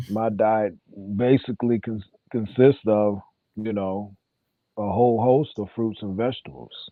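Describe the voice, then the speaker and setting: A man's voice at a medium pitch with fairly even intonation. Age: 50s. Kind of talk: casual chat.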